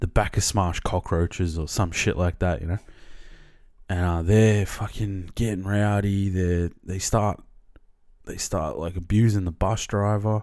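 A man with an Australian accent, fairly low-pitched, at a fairly slow pace with fairly even intonation, on a very clean recording with a silent background. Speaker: podcast host. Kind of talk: casual storytelling monologue.

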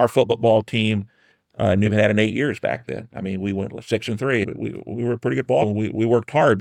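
In an American accent, a man with a fairly low voice talks at a fairly quick pace, the sound dry and close with no echo on a very clean recording with a silent background. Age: 60s. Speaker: city councilman. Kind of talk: casual chat. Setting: studio.

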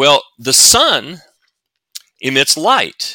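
In a Southern US accent, a man speaks with a bright, sharp tone in a very clean recording with a silent background, dry and close with no echo. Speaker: NASA physicist and author. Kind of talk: casual interview.

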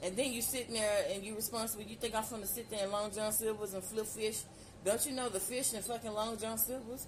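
Over noticeable background noise, a woman with a fairly high pitch speaks in an animated tone. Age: 40s. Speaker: solo podcaster. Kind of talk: casual monologue.

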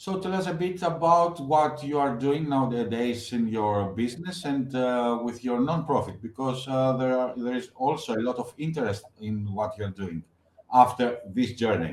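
This man has an unremarkable speaking voice at medium pitch. His intonation is lively and his pace moderate. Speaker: podcast host. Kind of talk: interview, moderated questions.

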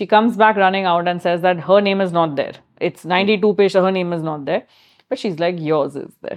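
With an Indian accent, a woman speaks at a fairly quick pace, her medium pitch showing ordinary pitch variation. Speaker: chef and food business founder. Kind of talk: interview conversation.

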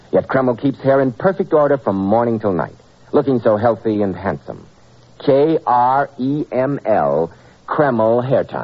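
This man has an ordinary speaking voice, medium in pitch, with lively intonation. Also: moderate pace. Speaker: radio announcer and sponsor pitchman. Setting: old radio studio broadcast. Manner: formal, suave, warmly salesmanlike, crisp mid-Atlantic delivery.

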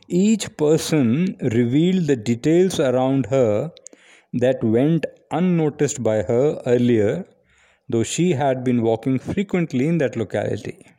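The tone is dark and mellow, with lively intonation. Loudness stays very even against a quiet background. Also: man, medium pitch for a man. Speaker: retired teacher and blogger. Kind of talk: reading aloud. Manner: formal.

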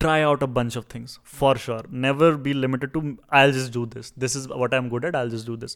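With fairly even intonation and big swings in loudness, a man talks at a fairly quick pace in a medium pitch and a normal speaking voice, on a very clean recording with a silent background. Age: 20s. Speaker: actor and writer. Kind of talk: casual interview.

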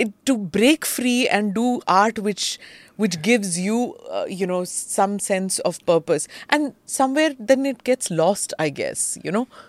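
A woman talks at a fairly slow pace with an Indian accent and a fairly high pitch. The sound is dry and close, with no echo. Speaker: podcast host. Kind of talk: interview.

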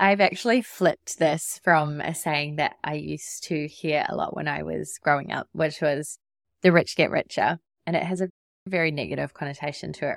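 With a New Zealand accent, a woman speaks at a moderate pace, the sound dry and close with no echo. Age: 30s. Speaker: podcast host, web designer and business coach. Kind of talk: solo podcast monologue. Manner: casual, laughs often.

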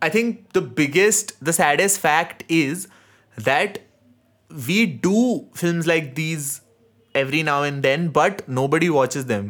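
The speaker has an Indian accent and talks at a very slow pace. The intonation is lively. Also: man, fairly high pitch for a man. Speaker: podcast host. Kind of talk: casual chat, film discussion.

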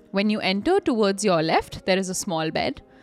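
Over music in the background, the speaker sounds animated, moving at a fairly quick pace with lively intonation. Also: woman. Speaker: podcast co-host. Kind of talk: horror story narration read aloud. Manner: animated, laughing.

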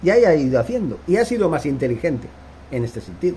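A man with a fairly high pitch speaks in very wide pitch swings. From Barcelona, Spain. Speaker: football commentator YouTuber. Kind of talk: opinion monologue. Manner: animated.

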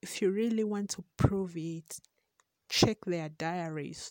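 A woman with a Ugandan accent speaks in a medium pitch with a dark, mellow tone and fairly even intonation, in a dry, close sound with no echo. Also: very clean recording, silent background. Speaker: podcast host. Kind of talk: monologue podcast intro.

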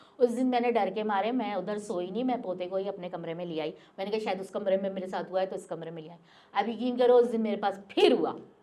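Noticeable background noise sits behind a woman whose medium-pitched voice shows ordinary pitch variation and big swings in loudness. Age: old. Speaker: storyteller sharing paranormal experience. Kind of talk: personal testimony.

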